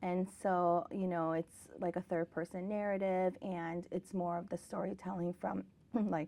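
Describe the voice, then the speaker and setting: A woman speaks at a fairly slow pace in a General American accent, her pitch fairly low. Her tone is dark and mellow, her intonation monotone and flat. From South Korea, came to the US at eight. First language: Korean. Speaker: author and educator. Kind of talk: interview. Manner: casual with many fillers.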